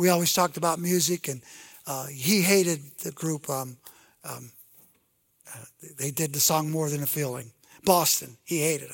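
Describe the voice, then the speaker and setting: A man with fairly high pitch speaks at a moderate pace, leaving long, frequent pauses, with big swings in loudness and ordinary pitch variation. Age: 60s. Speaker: pastor. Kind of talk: sermon. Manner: halting.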